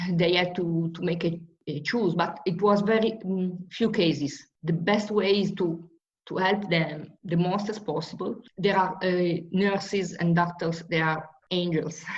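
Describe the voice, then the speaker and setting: Somewhat breathy and fairly low in pitch, a woman speaks at a fairly slow pace with fairly even intonation amid audible room echo. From Italy, Marche region. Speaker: professor. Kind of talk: casual interview. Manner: halting.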